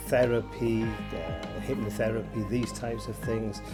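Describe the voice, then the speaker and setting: Over music in the background, the speaker talks at a fairly slow pace with a Yorkshire accent. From Yorkshire, England. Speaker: presenter of a video series on tinnitus. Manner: casual, chatty, many filler words.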